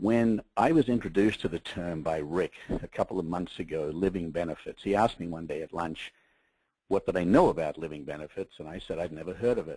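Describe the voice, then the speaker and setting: With an Australian accent, a man speaks at a very deep, low pitch in a dark, mellow tone. His pace is fairly quick, his pitch variation ordinary, and the sound dry and close with no echo. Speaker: media executive. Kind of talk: webinar presentation. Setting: webinar call.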